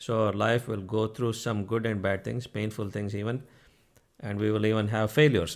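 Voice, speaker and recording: With an Indian accent, a man speaks in a fairly low pitch with fairly even intonation. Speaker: spiritual teacher. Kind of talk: spiritual talk to online audience. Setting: live stream. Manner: conversational, frequent 'okay?' check-ins.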